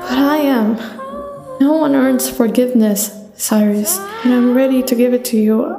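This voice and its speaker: A woman's high-pitched voice at a fairly slow pace, with fairly even intonation and music in the background. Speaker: audiobook narrator. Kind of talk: audio drama narration of a novel.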